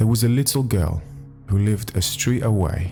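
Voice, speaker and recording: The speech unfolds at a fairly slow pace. Music plays in the background. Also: man. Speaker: Reddit story narrator. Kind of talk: read story with commentary.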